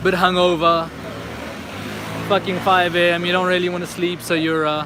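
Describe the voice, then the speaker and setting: Noticeable background noise lies beneath the voice throughout. The talking keeps to a moderate pace. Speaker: livestreamer walking city streets. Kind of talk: live stream walking commentary. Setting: outdoors on city streets at night. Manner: casual, conversational.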